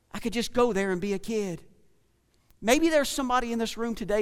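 A man with a rural Southern US accent speaks in an animated tone at a high pitch, with ordinary pitch variation, on a very clean recording with a silent background. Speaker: pastor. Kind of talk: sermon. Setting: church. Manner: animated, preacherly.

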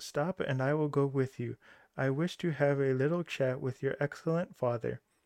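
Recorded dry and close with no echo over a quiet background, a man in an ordinary speaking voice talks at a moderate pace with fairly even intonation and a fairly high pitch. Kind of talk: scripted narration, audiobook-style fairy tale reading. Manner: storyteller's measured pace, shifting into character voices for dialogue.

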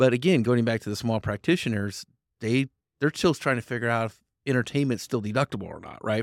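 In a plain, everyday voice, a man with an American accent speaks at a medium pitch with ordinary pitch variation, dry and close with no echo, on a very clean recording with a silent background. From Idaho. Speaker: insurance business owner. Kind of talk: podcast interview.

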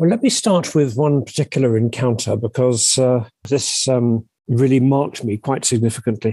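In a southern English accent, a man talks at a moderate pace with hardly any pauses, medium pitch, ordinary pitch variation, a dark, mellow tone and very even loudness, the sound dry and close with no echo. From southern England, Sussex. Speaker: publisher and literary agent. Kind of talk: interview testimony. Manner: halting, repeats words.

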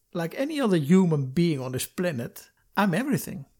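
A man speaks in a high pitch. The recording is very clean, with a silent background. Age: 50s. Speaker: podcast host. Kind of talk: personal monologue podcast. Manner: halting, with repetitions.

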